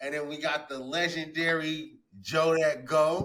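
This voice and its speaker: A man speaks very slowly, with a fairly high pitch and a bright, sharp tone. His intonation stays fairly even. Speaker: podcast host. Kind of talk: casual chat.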